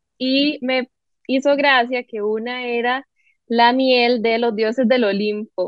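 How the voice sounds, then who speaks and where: A woman uses a plain, everyday voice with a fairly high pitch and fairly even intonation. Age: 20s. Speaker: entrepreneur. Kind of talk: casual chat.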